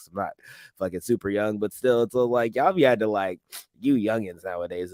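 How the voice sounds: At a fairly quick pace, a man speaks with a fairly low pitch.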